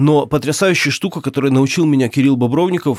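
Fairly high in pitch, the man has an unremarkable speaking voice with ordinary pitch variation. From Ukraine. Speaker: journalist and volunteer soldier. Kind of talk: interview testimony.

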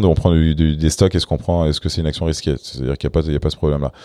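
Very fast speech comes from a man with a very deep, low pitch and a dark, mellow tone. The sound is dry and close, with no echo. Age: 30s. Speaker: startup founder. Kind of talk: interview. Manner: halting.

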